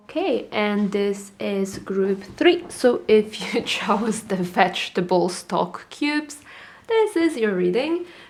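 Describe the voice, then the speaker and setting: Noticeable background noise sits under a woman's fairly high voice. She speaks at a very slow pace with very wide pitch swings. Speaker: tarot reader. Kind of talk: tarot reading video.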